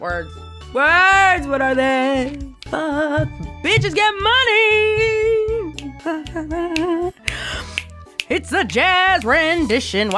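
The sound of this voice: A put-on character voice speaks at a high pitch and a very slow pace. Clear music plays in the background.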